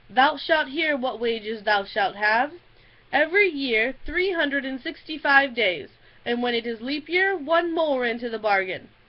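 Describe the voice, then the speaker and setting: In a put-on character voice, the speaker growls at a moderate pace. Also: woman, high pitch for a woman. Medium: read story. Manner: growling into his beard.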